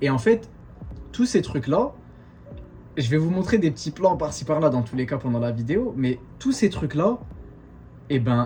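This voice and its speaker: A man talks at a moderate pace with ordinary pitch variation. His voice is somewhat breathy. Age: 20s. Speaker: vlogger, exchange student. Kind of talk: casual talk to camera.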